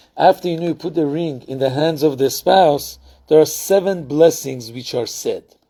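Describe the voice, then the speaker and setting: This man has a fairly high pitch, ordinary pitch variation and a dark, mellow tone, heard in a very clean recording with a silent background. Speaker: rabbi. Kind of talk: lecture. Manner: conversational, with fillers.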